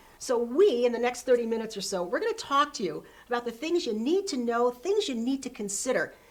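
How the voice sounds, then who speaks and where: A woman with a fairly high pitch and lively intonation speaks in an ordinary speaking voice. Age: 60s. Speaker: TV show host. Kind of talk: interview introduction.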